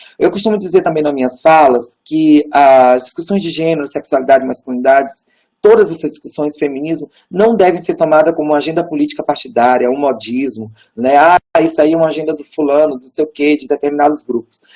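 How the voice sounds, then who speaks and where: This voice carries a Brazilian accent. The pace is fairly quick. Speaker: academic researcher on gender. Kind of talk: lecture. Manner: fast.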